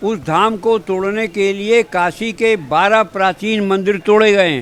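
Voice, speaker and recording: A man talks at a high pitch while noticeable background noise lingers behind him. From Varanasi, India. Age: 80s+. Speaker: activist. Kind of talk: press interview. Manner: animated.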